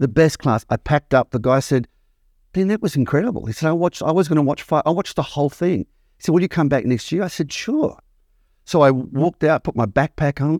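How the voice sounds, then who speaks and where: A man with an Australian accent talks at a very fast pace with ordinary pitch variation, in a dry, close sound with no echo and a very clean recording over a silent background. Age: 60s. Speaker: acting school founder and teacher. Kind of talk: interview conversation.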